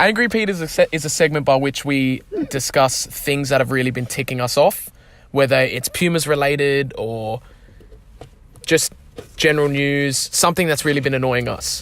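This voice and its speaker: Speaking with an Australian accent at a moderate pace, a man has a fairly high pitch and ordinary pitch variation. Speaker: football club podcast host. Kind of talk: casual podcast chat. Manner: animated.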